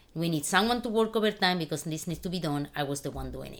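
A woman with a Spanish accent and ordinary pitch variation, on a very clean recording with a silent background. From Spain. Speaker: financial advisor. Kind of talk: casual interview.

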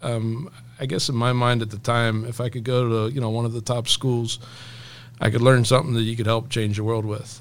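Speaking fairly quickly in a monotone, flat way, a man with an American accent holds a medium pitch. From US, Pennsylvania (Elizabethtown). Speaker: missionary and preacher. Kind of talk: interview testimony.

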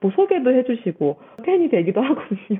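A woman's animated tone at a fairly quick pace. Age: young. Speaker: science educator. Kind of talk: interview.

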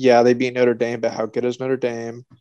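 Someone speaks at a moderate pace with an American accent, an ordinary speaking voice. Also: man. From Nebraska. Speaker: podcast co-host, sports fan. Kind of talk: casual chat.

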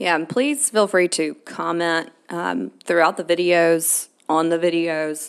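A woman with a Southern US accent, fairly low in pitch, at a very slow pace. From Alabama. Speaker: podcast co-host. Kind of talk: casual chat.

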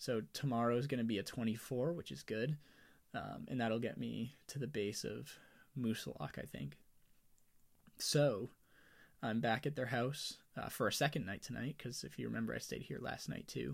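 In a very clean recording with a silent background, a man of medium pitch speaks at a moderate pace with lively intonation and vocal fry. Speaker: podcast host and thru-hiker. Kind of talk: solo casual monologue. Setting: farmhouse, off trail. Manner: rambling, many fillers.

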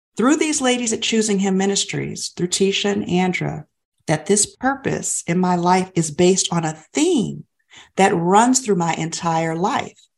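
In an ordinary speaking voice, a woman speaks at a moderate pace and medium pitch with lively intonation. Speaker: podcast co-host. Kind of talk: faith-based podcast conversation.

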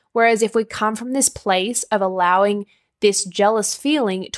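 Recorded very cleanly against a silent background, with a dry, close sound and no echo, a woman with an Australian accent speaks at a moderate pace and medium pitch with ordinary pitch variation. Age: 20s. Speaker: nutrition and life coach, podcast host. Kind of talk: solo podcast monologue. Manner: animated.

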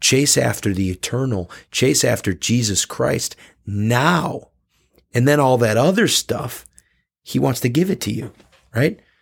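Marked by vocal fry and lively intonation, the voice moves at a fairly slow pace with long, frequent pauses on a very clean recording with a silent background. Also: man, medium pitch for a man. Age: 30s. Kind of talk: casual faith discussion.

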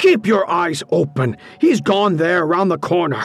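A man performs a put-on character voice at a high pitch, with vocal fry and a slightly husky edge. He moves at a moderate pace with lively intonation.

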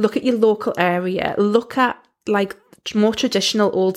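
Fairly high-pitched woman with a Geordie accent, fairly even intonation, and a moderate pace. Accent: Geordie (Newcastle English). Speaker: podcast host, business coach. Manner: conversational, explanatory.

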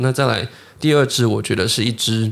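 At a medium pitch, a man speaks with vocal fry. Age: 20s. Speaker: podcast host, watch collector. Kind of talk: casual interview chat.

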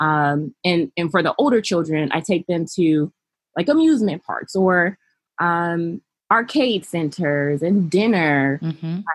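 Against a quiet background, a woman speaks fairly slowly in a fairly low register, the sound dry and close with no echo. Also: ordinary pitch variation. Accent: Californian. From US West Coast, Los Angeles. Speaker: childcare business founder and behavioral therapist. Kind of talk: interview.

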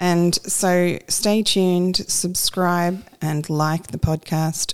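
On a very clean recording with a silent background, a woman with an Australian accent talks at a fairly low pitch with fairly even intonation. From rural New South Wales, Australia. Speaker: pastor's wife, co-host. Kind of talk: casual chat, podcast conversation with husband.

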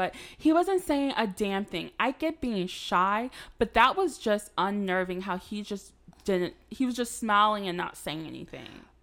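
A woman with an American accent swings her pitch very widely. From North Carolina. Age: 20s. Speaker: podcast host. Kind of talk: casual chat.

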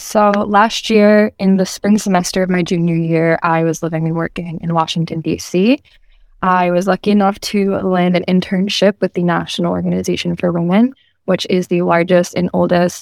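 With a normal speaking voice, a woman talks at a moderate pace in a fairly low pitch and fairly even intonation, the sound dry and close with no echo. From Massachusetts, Boston area (Medford). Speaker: student activist. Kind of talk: interview.

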